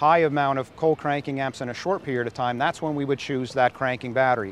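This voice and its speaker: A man speaks with ordinary pitch variation, his voice dry and free of any echo. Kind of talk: interview answer. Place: waterside. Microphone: lapel.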